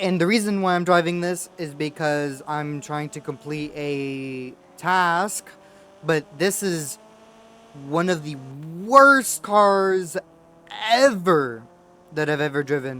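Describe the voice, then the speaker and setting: Loud and bright, with a sharp tone, a man speaks in a fairly high pitch with ordinary pitch variation. His pace is very slow, with long, frequent pauses. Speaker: gaming youtuber. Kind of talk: game review commentary.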